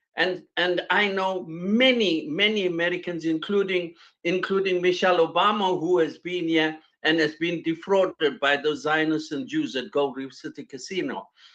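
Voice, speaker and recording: This man's voice sits high in pitch, with ordinary pitch variation. He talks at a moderate pace. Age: 70s. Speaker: panel guest. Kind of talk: panel discussion. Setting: video call. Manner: halting, repetitive.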